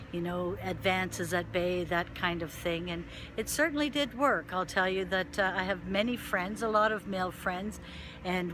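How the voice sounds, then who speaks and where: This woman's voice has a bright, sharp tone at a medium pitch. She keeps a moderate pace and fairly even intonation. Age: 60s. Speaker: video blogger. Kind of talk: personal vlog testimony. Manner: conversational, with frequent fillers.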